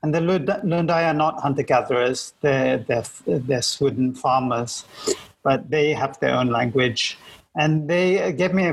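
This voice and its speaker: Somewhat breathy and fairly high, a man's voice moves at a fairly slow pace with very even loudness and ordinary pitch variation. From Malaysia. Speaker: podcast co-host. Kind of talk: casual interview conversation.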